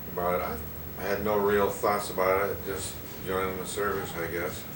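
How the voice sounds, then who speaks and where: A man with a very deep, low pitch speaks in a monotone, flat way at a moderate pace, with noticeable background noise behind him. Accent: American. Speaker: WWII army veteran. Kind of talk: interview answer.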